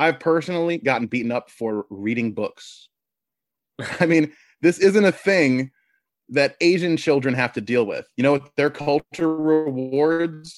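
A normal speaking voice moves at a fairly slow pace with ordinary pitch variation. The background is quiet, and the sound is dry and close with no echo. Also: man, fairly high pitch for a man. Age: 30s. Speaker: podcast host, political commentator. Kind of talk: interview, political discussion.

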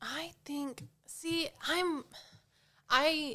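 With a bright, sharp tone, a woman projects her voice in a raised manner. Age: 20s. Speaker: gamer guest. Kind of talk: casual chat.

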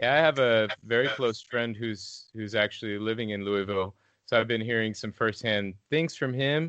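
A man with a plain, everyday voice and an American accent talks at a moderate pace, medium in pitch, with ordinary pitch variation. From Illinois. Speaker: musician. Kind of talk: interview.

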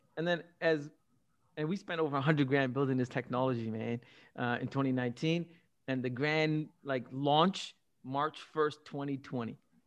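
With an animated tone and fairly high pitch, a man talks at a moderate pace with ordinary pitch variation and long, frequent pauses against a quiet background. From Canada, Scarborough (Toronto), arrived at 14 from Singapore. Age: 40s. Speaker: entrepreneur. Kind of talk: interview.

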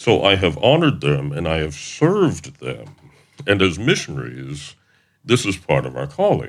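This man speaks at a moderate pace with a very deep, low pitch, vocal fry and very wide pitch swings. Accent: American. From US South, Middle Tennessee (Wayne County). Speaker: missionary. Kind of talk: interview.

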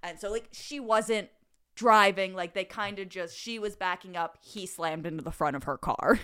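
Recorded very cleanly with a silent background, a woman with a bright, sharp tone and medium pitch talks at a moderate pace with ordinary pitch variation. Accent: Philadelphia-area. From Delaware County, Pennsylvania. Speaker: podcast host. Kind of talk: casual banter.

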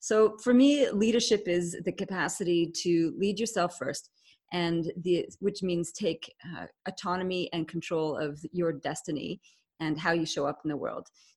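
In a Canadian accent, a woman talks at a moderate pace with ordinary pitch variation. She has an unremarkable speaking voice, fairly low in pitch. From Canada. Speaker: leadership expert, author. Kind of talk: interview. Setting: video call.

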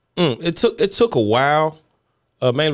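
A man with a Southern US accent, at a fairly quick pace. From Mississippi. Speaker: comedian. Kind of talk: casual chat.

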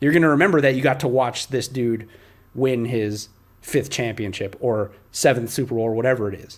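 A man with an unremarkable speaking voice talks at a medium pitch and a fairly quick pace, with ordinary pitch variation. The recording is very clean with a silent background. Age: 30s. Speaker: NBA podcast host. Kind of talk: casual sports chat.

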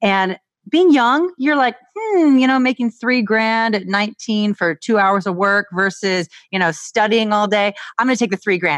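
A woman's normal speaking voice at a moderate pace, lively in intonation, very even in loudness, dry and close with no echo. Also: fairly high pitch for a woman. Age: 30s. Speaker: nutritionist and personal trainer. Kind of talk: casual interview chat.

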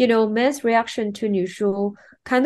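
A woman at a moderate pace, with a Chinese accent. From China, Shanghai. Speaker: film producer and director. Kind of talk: interview. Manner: hesitant, many fillers.

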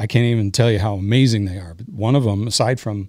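A man speaks in a normal speaking voice at a medium pitch, with lively intonation. The recording is very clean with a silent background, and the sound is dry and close with no echo. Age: 60s. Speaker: musician. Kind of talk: casual chat.

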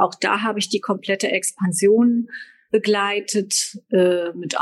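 A woman speaks at a very slow pace. Her pitch sits at a medium level. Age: 50s. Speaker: fashion sales agent. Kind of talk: interview.

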